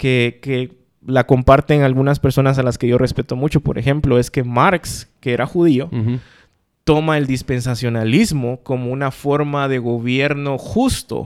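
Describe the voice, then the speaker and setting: A man speaks at a fairly slow pace in an ordinary speaking voice of medium pitch. His intonation is fairly even, and the recording is very clean with a silent background. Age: 40s. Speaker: podcast co-host. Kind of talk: casual chat.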